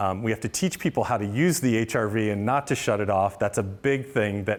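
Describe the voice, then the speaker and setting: A man's voice with a fairly low pitch. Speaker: housing nonprofit builder. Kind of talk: talk with Q&A. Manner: fast.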